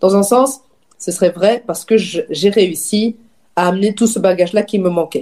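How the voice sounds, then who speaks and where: Speaking at a moderate pace, a woman has a dark, mellow tone and medium pitch. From Wallonia, Belgium (Dinant, Namur region). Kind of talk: casual chat.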